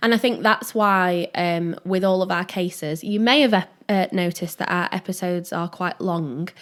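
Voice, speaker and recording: With a Yorkshire accent, a woman talks at a moderate pace with hardly any pauses, medium pitch and ordinary pitch variation, recorded very cleanly against a silent background. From Yorkshire, northern England. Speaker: true crime podcast co-host. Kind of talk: casual chat. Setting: small room.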